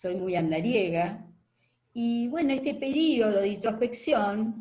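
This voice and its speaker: A woman speaks very slowly in a fairly high, somewhat breathy voice with a dark, mellow tone, and the room echo is audible. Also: lively intonation. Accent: Rioplatense. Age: 70s. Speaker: retired participant in discussion. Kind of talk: casual testimony in online discussion. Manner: hesitant, many fillers.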